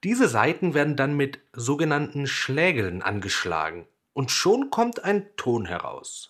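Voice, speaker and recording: A man's fairly high voice with vocal fry, very wide pitch swings and a very slow pace in a very clean recording with a silent background. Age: 20s. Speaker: children's music podcast host. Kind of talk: scripted narration for children.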